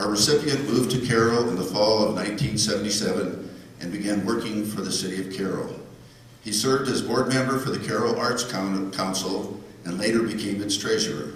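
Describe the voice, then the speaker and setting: Against noticeable background noise and audible room echo, a man talks at a fairly quick pace with a fairly low pitch. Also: ordinary pitch variation. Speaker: award presenter. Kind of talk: banquet speech. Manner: soft-spoken.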